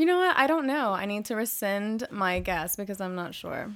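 At a fairly slow pace, a woman speaks with lively intonation in a very clean recording with a silent background. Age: 20s. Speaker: musician and teacher. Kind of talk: casual chat.

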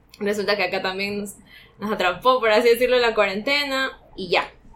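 Over noticeable background noise, a woman speaks at a moderate pace and medium pitch with ordinary pitch variation. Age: 20s. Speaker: coffee school intern and co-host. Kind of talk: interview, casual chat.

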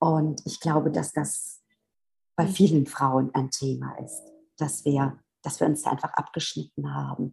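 A woman talks fairly slowly as music plays behind her. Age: 50s. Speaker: physiotherapist and spiritual coach. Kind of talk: interview conversation.

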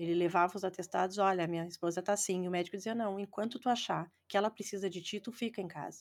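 Her pitch varies in an ordinary way as a woman rushes along at a very fast pace. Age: 50s. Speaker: football fan and breast cancer survivor. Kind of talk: testimony.

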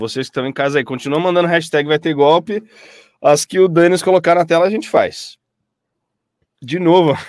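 A man speaks in a high, animated voice with ordinary pitch variation. He leaves long, frequent pauses. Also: moderate pace, dry, close sound with no echo. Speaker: voice actor and live show host. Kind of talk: casual chat on a live stream.

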